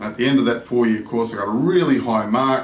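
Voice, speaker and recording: A man's medium-pitched voice with an Australian accent, audible room echo and noticeable background noise. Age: 60s. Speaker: language learner vlogger. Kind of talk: casual vlog monologue.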